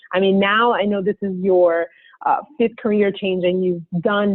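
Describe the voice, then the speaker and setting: A woman's medium-pitched voice at a moderate tempo, an unremarkable speaking voice. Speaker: podcast host. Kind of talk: interview question.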